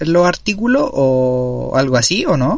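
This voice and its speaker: A man speaks with a Chilean accent. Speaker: podcast host. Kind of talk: casual interview.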